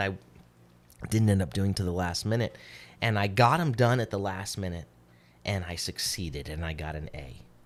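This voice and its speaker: Here a man with a fairly low pitch is heard on a very clean recording with a silent background. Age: 40s. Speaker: podcast co-host. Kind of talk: casual chat. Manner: halting.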